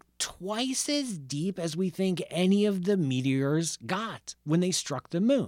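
A very slow pace on a very clean recording with a silent background. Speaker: radio host and astrophysicist. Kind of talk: radio show hosting, science talk. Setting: radio studio. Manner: animated, casual, friendly.

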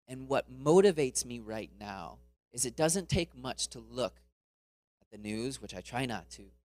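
Using a plain, everyday voice with an American accent, a man at medium pitch talks at a moderate pace with lively intonation and big swings in loudness. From Florida, US. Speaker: missionary speaker. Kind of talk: sermon. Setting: church.

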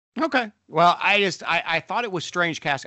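At a moderate pace, a man uses a normal speaking voice with lively intonation. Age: 40s. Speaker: podcast co-host, pastor and father. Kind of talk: casual chat.

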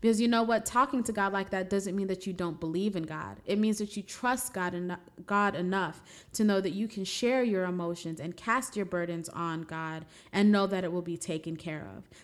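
A woman speaks with an American accent at a medium pitch, with ordinary pitch variation. It is an ordinary speaking voice. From New York City (Brooklyn). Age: 20s. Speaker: podcast host, criminal defense attorney. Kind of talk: reflective spiritual monologue.

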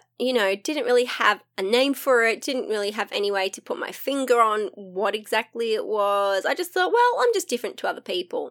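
Speaking at a fairly quick pace in an animated tone, a woman with a high pitch makes very wide pitch swings, and the sound is dry and close with no echo on a very clean recording with a silent background. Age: 40s. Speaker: podcast host. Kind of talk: solo casual monologue. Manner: frequent laughter.

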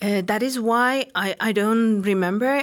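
A woman with an Iranian accent speaks at a fairly slow pace in a very clean recording with a silent background. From Tehran, Iran. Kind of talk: casual interview. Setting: studio. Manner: halting, hesitant.

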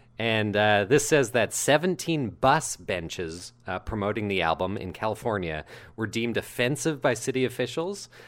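A man's ordinary speaking voice, fairly slow with lively intonation, in a very clean recording with a silent background. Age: 20s. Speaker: podcast co-host, actor and comedian. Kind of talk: casual chat; reading aloud.

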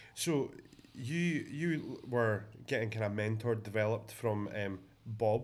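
A man with a Scottish accent talks fairly slowly at a medium pitch, with ordinary pitch variation. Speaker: podcast host. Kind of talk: casual chat. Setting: office, visiting abroad.

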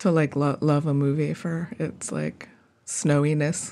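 A woman's very deep, low voice, dark and mellow in tone, in a very clean recording with a silent background. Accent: American. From Wisconsin, Milwaukee. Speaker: poet and arts organizer. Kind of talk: casual chat.

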